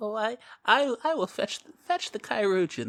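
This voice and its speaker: A female-sounding put-on character voice talks at a moderate pace with a fairly high pitch. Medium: actual play. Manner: doting, muddled, stammering.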